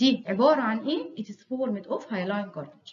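A woman talks very fast with an Egyptian accent. Her intonation is lively. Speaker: histology lecturer. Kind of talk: lecture. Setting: recorded video lecture.

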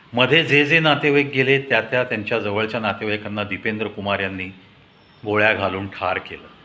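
The intonation stays fairly even, and the pace is fairly quick. A bright, sharp tone carries some audible room echo. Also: man, fairly low pitch for a man.

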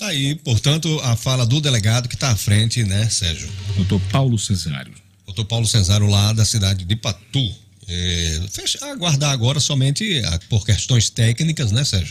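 With music in the background, a man speaks at a moderate pace with lively intonation. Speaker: radio news host. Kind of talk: news commentary. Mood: grave, indignant. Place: studio. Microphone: studio mic.

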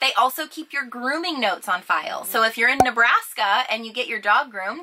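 Noticeable background noise runs under a woman's raised, projected voice at a moderate pace. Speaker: RV vlogger. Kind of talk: casual vlog tips. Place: home room.

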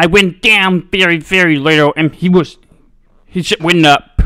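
A man's bright, sharp tone with ordinary pitch variation, in a dry, close sound with no echo. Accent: American. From North Carolina. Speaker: sim racing streamer. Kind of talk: live gameplay commentary. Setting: home gaming setup. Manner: casual, filler-heavy.

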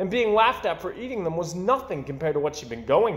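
Someone is reading aloud in a natural voice, and the intonation comes across as lively.

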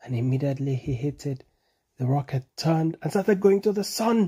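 A man talks at a moderate pace with a fairly high pitch and lively intonation. His dark, mellow tone carries a slightly husky edge.

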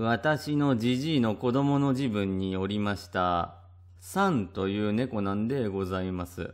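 A man speaks in a plain, everyday voice at a fairly low pitch. His pace is fairly slow, with ordinary pitch variation. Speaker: storyteller reading a classic ghost story. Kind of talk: literary kaidan reading aloud, old-fashioned storytelling. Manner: formal, polite old-fashioned speech, narrating like an elderly woman.

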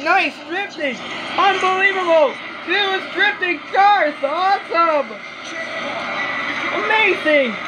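Noticeable background noise is audible throughout. The words come at a very slow pace. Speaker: actor doing commentator voice-over. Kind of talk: racing commentary voice-over. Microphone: phone near.

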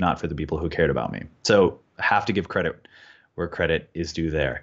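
An American accent marks this man's speech. He talks very fast against a quiet background. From California. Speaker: financial coach. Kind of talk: interview. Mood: reflective, slightly emotional. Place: home room. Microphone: earbuds.

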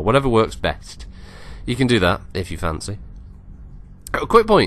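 A man speaks. He has an English accent. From England. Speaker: gaming YouTuber. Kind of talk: gameplay commentary. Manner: hesitant, with many fillers.

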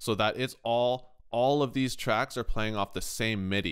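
A man with a Canadian accent, medium pitch and ordinary pitch variation, on a very clean recording with a silent background. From Canada. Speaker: music production youtuber and guitar tech. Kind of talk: tutorial. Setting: in a kitchen. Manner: casual.

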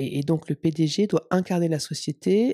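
Against a quiet background, a woman speaks at a fairly slow pace. Her pitch is very deep and low, and her tone is dark and mellow. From Champagne, France; France. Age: 40s. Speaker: company CEO; interview guest. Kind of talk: interview. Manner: hesitant, repeats words. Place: home room. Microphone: handheld.

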